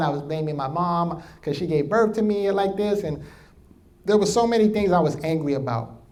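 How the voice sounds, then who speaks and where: In a New York accent, a man talks at a fairly quick pace in a high voice with an animated tone and ordinary pitch variation, with audible room echo. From New York, the Bronx. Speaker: motivational speaker. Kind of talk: keynote speech.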